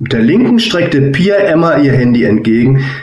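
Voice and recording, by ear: Someone is reading aloud in a natural voice. The intonation is lively.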